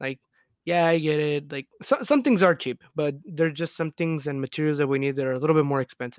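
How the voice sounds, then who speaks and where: Recorded very cleanly against a silent background with a dry, close sound and no echo, a man with a plain, everyday voice speaks at a fairly high pitch with ordinary pitch variation. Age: 20s. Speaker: podcast co-host. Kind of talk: casual chat. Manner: relaxed, casual.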